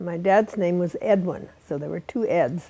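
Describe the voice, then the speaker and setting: A woman with an American accent speaks at a fairly slow pace in a medium pitch, her dark, mellow tone carried by fairly even intonation. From eastern Montana. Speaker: oral history interviewee. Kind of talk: oral history interview. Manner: halting, with many fillers.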